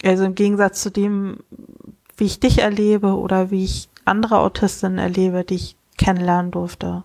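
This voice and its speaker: A woman with a medium pitch speaks in a monotone, her intonation flat. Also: moderate pace. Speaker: podcast co-host. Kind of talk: casual chat. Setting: remote call.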